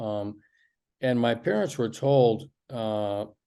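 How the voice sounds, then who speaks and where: Against a quiet background, a man with a General American accent speaks at a very slow pace. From Michigan. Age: 60s. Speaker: physician. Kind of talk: interview, life story. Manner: hesitant with fillers.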